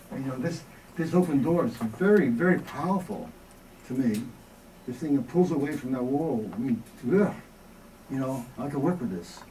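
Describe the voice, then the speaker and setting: A man at a fairly high pitch and moderate pace, with lively intonation, long, frequent pauses and audible room echo. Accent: American. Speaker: experimental filmmaker. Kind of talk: Q&A after a lecture. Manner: halting.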